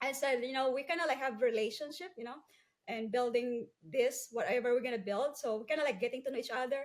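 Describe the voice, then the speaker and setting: A woman speaks with a Filipino accent. Her pitch is high and her pace very fast. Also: ordinary pitch variation. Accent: Filipino-accented English, non-fluent. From Philippines, Cebu island. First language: Cebuano/Filipino. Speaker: entrepreneur. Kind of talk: interview testimony.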